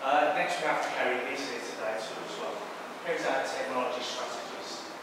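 A man talks at a fairly quick pace over loud background noise, with audible room echo. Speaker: startup presenter. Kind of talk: pitch. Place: hall. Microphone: camera far.

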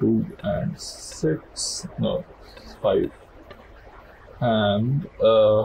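A man mumbles over light background noise. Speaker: game player. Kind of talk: casual gameplay commentary. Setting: low-quality home mic. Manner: mumbling, hesitant.

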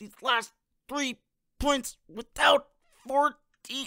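In a raised, projected voice pitched extremely high, a man speaks with monotone, flat intonation. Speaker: audiobook narrator. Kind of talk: audiobook reading.

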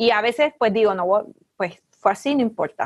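In a Puerto Rican accent, a woman talks at a moderate pace with big pitch swings, in a dry, close sound with no echo.

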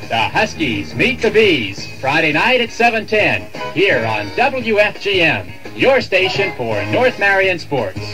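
Clear music sits in the background as a man speaks at a fairly slow pace. His pitch is high and swings very widely. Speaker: radio announcer. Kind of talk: radio station promo. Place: studio. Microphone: old recording.

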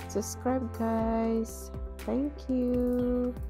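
A woman's very slow speech over clear background music. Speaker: shopping vlogger. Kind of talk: casual vlog chat. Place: shop. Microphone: phone near.

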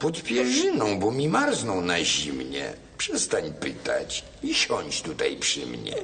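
Over clear background noise, a man puts on a nasal, hoarse character voice and speaks at a fairly slow pace. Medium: audio drama. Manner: sly, deceitful.

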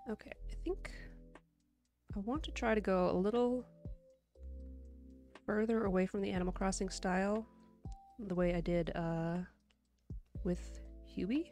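Over faint music in the background, a woman speaks at a moderate pace with long, frequent pauses and ordinary pitch variation, the sound dry with no echo. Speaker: digital artist streamer. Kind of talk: casual live stream chat while drawing.

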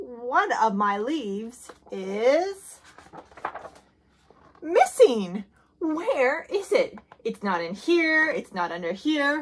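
A cartoonish character voice from a woman, fairly high in pitch with a slightly husky edge, big pitch swings, a very slow pace and long, frequent pauses.

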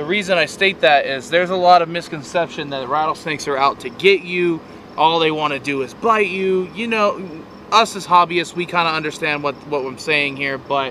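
A man talks at a moderate pace with ordinary pitch variation, the sound dry with no echo and light background noise present. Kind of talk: casual vlog chat. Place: open country.

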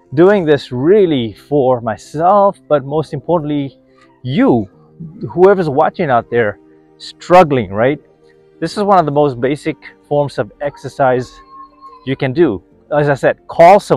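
Faint music plays in the background of a dry recording with no echo. The speech moves at a fairly slow pace, with long, frequent pauses. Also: man. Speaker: wellness vlogger. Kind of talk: casual vlog chat. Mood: upbeat, encouraging. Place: street. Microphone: phone near.

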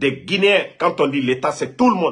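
With lively intonation, a man's voice comes through over a quiet background. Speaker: online political commentator. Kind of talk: commentary. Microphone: phone near.

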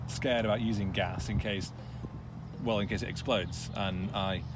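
A man is speaking, with noticeable background noise. The sound is dry, with no echo. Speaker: tech journalist on road trip. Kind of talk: casual vlog chat. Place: car.

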